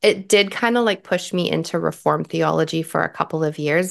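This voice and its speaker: Against a quiet background, a woman with a Canadian accent talks at a moderate pace. Hers is a normal speaking voice with a fairly low pitch. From Canada. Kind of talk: interview testimony.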